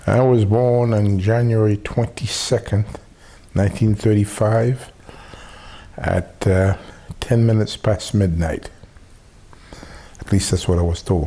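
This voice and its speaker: Over noticeable background noise, a man with a fairly low pitch talks at a fairly slow pace with fairly even intonation, very even loudness, and long, frequent pauses. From Haiti. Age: 60s. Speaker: family elder interviewee. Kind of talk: oral history interview. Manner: halting, many filler pauses.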